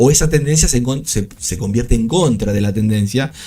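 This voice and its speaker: Noticeable background noise fills the clip. A man talks through it at a fairly quick pace. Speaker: trading streamer. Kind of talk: live trading commentary. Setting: live stream. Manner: fast.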